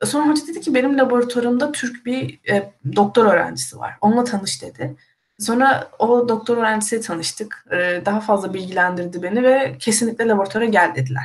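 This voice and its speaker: A somewhat breathy woman speaks at a fairly high pitch with very wide pitch swings. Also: fairly quick pace. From Turkey. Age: 20s. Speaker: university student. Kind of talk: casual live-stream chat.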